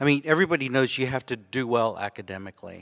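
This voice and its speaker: A man with an unremarkable speaking voice talks at a moderate pace, the sound dry and close with no echo. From Austin, Texas. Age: 50s. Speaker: ophthalmologist. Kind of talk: live interview. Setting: stage with audience.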